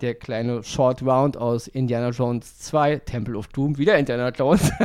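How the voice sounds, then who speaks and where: A man speaks in an ordinary speaking voice at a medium pitch. His pace is moderate. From Germany, Berlin (Wedding). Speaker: podcast co-host, film reviewer. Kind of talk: casual chat.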